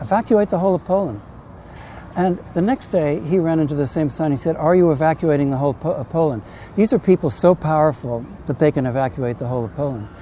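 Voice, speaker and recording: Over noticeable background noise, a man with an American accent talks very fast at a fairly high pitch with lively intonation. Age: 70s. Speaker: novelist. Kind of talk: personal testimony. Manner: halting.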